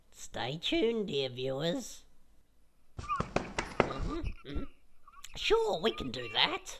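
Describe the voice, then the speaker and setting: A cartoonish character voice speaks at a very slow pace with a fairly high pitch. Long pauses come often. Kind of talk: comedic kids web series dialogue. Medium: puppet.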